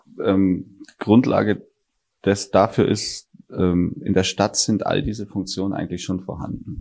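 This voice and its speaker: Here a man speaks at a fairly slow pace. His pitch is fairly low, with fairly even intonation. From Bavaria, southern Germany. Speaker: architect and startup CEO. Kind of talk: interview. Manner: halting, many fillers.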